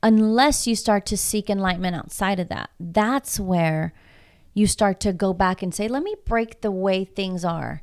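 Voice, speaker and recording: The speaker has a Spanish accent and moves at a fairly slow pace. The recording is very clean, with a silent background. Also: woman. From Houston, Texas (southwest side), Mexican-American family. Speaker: coach and public speaker. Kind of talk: casual interview chat.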